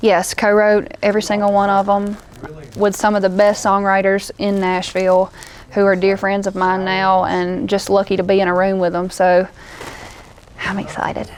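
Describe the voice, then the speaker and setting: Over noticeable background noise, a woman with a Southern US accent speaks at a moderate pace and medium pitch in a flat monotone. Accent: country Southern. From US South, northeast Louisiana. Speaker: country singer-songwriter. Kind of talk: interview. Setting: festival interview.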